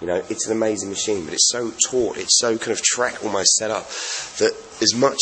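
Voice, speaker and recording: The speaker is a man. There is noticeable background noise behind him. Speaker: radio DJ and motorcycle reviewer. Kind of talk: casual vlog review. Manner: fast.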